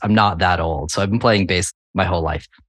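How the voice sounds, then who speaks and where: Against a quiet background, a man with an American accent and an unremarkable speaking voice talks at a moderate pace and a fairly low pitch. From New England (Connecticut). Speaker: architect and BIM consultant. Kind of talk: interview conversation.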